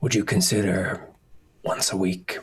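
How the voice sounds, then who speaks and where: A man's raspy, put-on character voice at a moderate pace. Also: fairly low pitch for a man. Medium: actual play. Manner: formal, polite.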